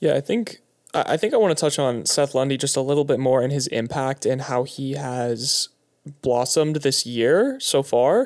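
A man speaks in a plain, everyday voice, fairly high in pitch, at a moderate pace. His pitch varies in an ordinary way, and the recording is very clean with a silent background. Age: 20s. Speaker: sports journalist. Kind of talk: casual chat. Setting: home studio.

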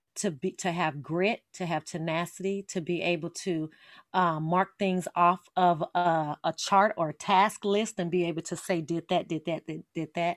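In a very clean recording with a silent background and a dry, close sound with no echo, a woman with an American accent and a normal speaking voice talks at a moderate pace, fairly low in pitch, with fairly even intonation. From Las Vegas, Nevada, US. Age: 40s. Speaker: author. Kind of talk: interview.

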